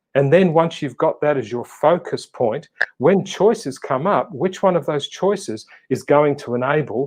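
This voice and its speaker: With an Australian accent, a man speaks at a moderate pace and a fairly high pitch. His intonation is lively. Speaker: motivational speaker and coach. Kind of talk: casual interview chat. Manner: animated.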